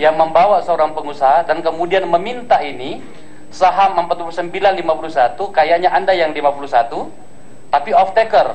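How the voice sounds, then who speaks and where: A loud man speaks at a fairly quick pace in a high voice, with noticeable background noise behind him. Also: ordinary pitch variation. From South Sulawesi coast. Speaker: parliamentary ethics panel member. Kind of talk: questioning a witness at a hearing. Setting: hearing room with PA microphones. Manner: forceful.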